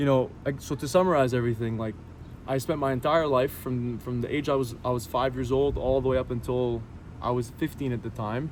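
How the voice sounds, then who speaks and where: At a fairly quick pace, a man of medium pitch speaks in an ordinary speaking voice with fairly even intonation. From Syria, then Canada. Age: 20s. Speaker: interviewee sharing conversion story. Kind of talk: personal testimony. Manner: casual, with fillers and repetitions.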